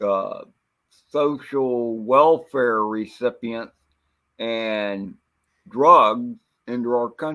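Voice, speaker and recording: A man with a medium pitch and ordinary pitch variation speaks very slowly, with long, frequent pauses. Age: 60s. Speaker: livestream panelist. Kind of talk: casual chat.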